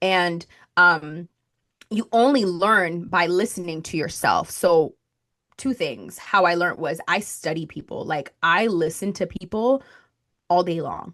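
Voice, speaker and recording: In a slight Spanish accent, a woman speaks at a fairly low pitch and a fairly slow pace. Her pitch variation is ordinary, and the background is quiet. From Colombia (Bogotá). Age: 20s. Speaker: marketing strategist. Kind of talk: podcast interview.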